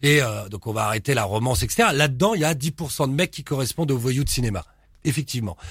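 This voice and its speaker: In a very clean recording with a silent background, a man with a medium pitch talks at a very fast pace with lively intonation. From Paris suburbs, Pantin (Seine-Saint-Denis). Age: 50s. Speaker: crime and tattoo author. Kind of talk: casual interview.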